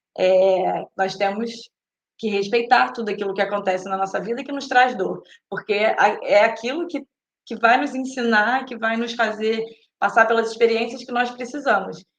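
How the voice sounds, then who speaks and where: With fairly high pitch and ordinary pitch variation, a woman talks at a moderate pace. Her loudness swings widely, and room echo is audible. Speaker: spiritist talk speaker. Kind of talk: lecture. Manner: halting, many fillers and repeats.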